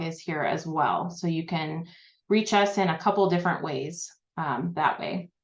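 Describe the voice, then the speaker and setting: Fairly even intonation at a moderate pace, over a quiet background. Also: woman. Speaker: librarian presenting a webinar; presenter. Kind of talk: online presentation. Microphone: video call.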